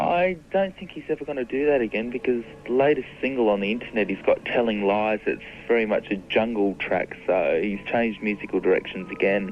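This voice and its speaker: A man with an Australian accent talks at a medium pitch and a fairly quick pace. His intonation is lively, and background noise is noticeable. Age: young. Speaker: fan club founder. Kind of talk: radio interview. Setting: phone call.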